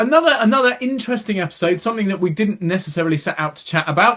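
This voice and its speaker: A man with an English accent speaks very fast in a high voice with a bright, sharp tone. His pitch swings very widely. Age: 30s. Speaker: podcast co-host. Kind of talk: casual chat.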